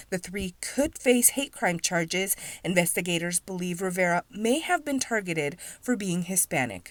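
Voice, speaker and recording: A woman with an unremarkable speaking voice talks at a moderate pace in a medium pitch, her intonation lively, on a very clean recording with a silent background. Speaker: TV news reporter. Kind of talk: TV news report.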